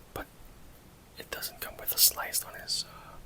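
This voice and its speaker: A man is whispering at a moderate pace. Noticeable background noise sits behind him. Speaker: ASMR creator. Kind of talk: casual talk to camera, collectible figure showcase. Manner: soft-spoken, whispery ASMR delivery.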